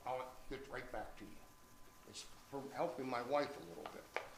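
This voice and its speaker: Noticeable background noise fills the clip. A man's voice carries audible room echo. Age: 80s+. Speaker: retired teacher speaking at family reunion. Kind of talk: reunion speech.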